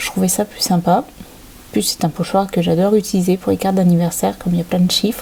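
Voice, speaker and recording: A woman with an English accent speaks at a very fast pace with hardly any pauses, her medium-pitched voice monotone and flat over noticeable background noise. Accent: English accent when speaking French. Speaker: crafting channel host. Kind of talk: tutorial. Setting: home desk filmed by overhead camera. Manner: hesitant, many filler sounds.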